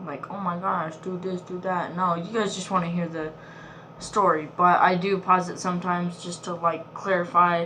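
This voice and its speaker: A woman's fairly low, flat monotone at a moderate pace, with big swings in loudness, audible room echo and noticeable background noise. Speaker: reaction youtuber. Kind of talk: casual chat. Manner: soft-spoken.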